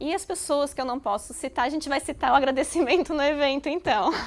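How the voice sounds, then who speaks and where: A woman speaks very fast in a São Paulo accent. The recording is very clean, with a silent background. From São Paulo, Brazil. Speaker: university professor. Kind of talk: interview.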